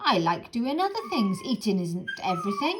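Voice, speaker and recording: Using a put-on character voice, a woman with a fairly high pitch moves through very wide pitch swings at a moderate pace. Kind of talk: bedtime story. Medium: read story.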